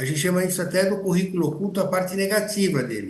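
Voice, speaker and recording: A man talks with a high pitch. Audible room echo surrounds his voice. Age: 70s. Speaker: physician. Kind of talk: panel discussion. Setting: auditorium.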